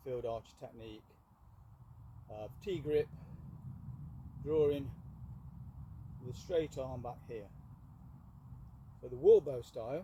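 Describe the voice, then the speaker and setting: Dark and mellow in tone, a man's somewhat breathy voice moves at a fairly slow pace with ordinary pitch variation. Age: 60s. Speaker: archer and bowyer. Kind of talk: tutorial. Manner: halting.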